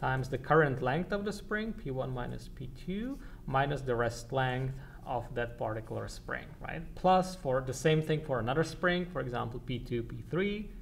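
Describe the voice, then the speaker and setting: A man speaks in a medium pitch with vocal fry and lively intonation. The room echo is audible. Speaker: university lecturer. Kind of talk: lecture. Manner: halting, many repetitions; fast.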